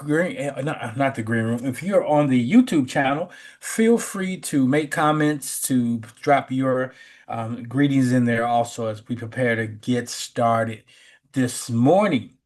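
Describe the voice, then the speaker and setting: An unremarkable speaking voice from a man with an American accent, medium in pitch, lively in intonation, at a fairly slow pace, comes over a quiet background. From US Midwest, Chicago west side. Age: 60s. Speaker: spiritual teacher. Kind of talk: sermon; casual chat. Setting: video call.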